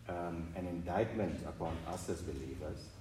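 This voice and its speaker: A man's somewhat breathy voice, very deep and low in pitch. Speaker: congregation member. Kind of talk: Bible reading and discussion.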